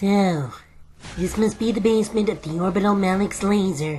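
In a put-on character voice, a female-sounding speaker talks at a middle pitch and moderate pace. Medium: audio drama.

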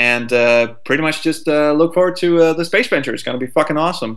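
A man talks at a fast pace. His pitch is fairly high. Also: ordinary pitch variation.

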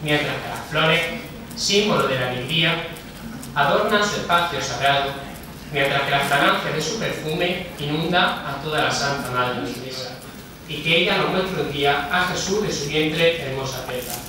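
Amid strong room echo and noticeable background noise, a man speaks at a moderate pace with a fairly high pitch and ordinary pitch variation. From Spain. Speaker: festival herald speaker. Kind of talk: religious proclamation speech. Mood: solemn, devotional. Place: hall.

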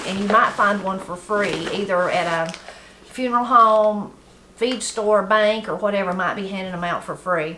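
Noticeable background noise around a woman speaking at a moderate pace. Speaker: gardening channel host. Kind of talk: casual tutorial chat. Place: home room.

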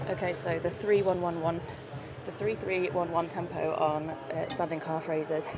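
A woman speaks with fairly even intonation while clear music plays in the background. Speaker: fitness vlogger. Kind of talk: casual vlog chat. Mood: chatty and relaxed. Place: gym. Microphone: lapel.

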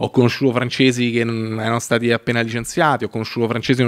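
Against a quiet background, a man speaks at a very fast pace. His intonation is fairly even. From Italy. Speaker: filmmaker and web series creator; podcast guest. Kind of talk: casual chat. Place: studio. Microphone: studio mic.

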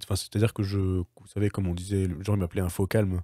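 The man's tone is dark and mellow, the sound dry and close with no echo, on a very clean recording with a silent background. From Paris region, France. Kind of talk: testimony. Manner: hesitant, many fillers.

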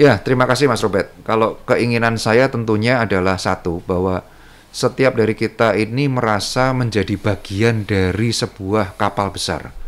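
At a moderate pace and with hardly any pauses, a man uses an ordinary speaking voice, medium in pitch, with fairly even intonation. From Central Java, Indonesia (Sukoharjo). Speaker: businessman and community organization official. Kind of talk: interview conversation.

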